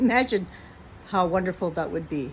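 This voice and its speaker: A somewhat breathy woman's voice. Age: 60s. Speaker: vlogger. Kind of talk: casual chat. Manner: reflective.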